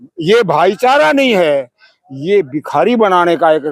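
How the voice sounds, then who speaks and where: Recorded with a dry, close sound and no echo, a man speaks with very wide pitch swings. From Rajasthan, India. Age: 90s. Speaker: elderly activist. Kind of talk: street interview.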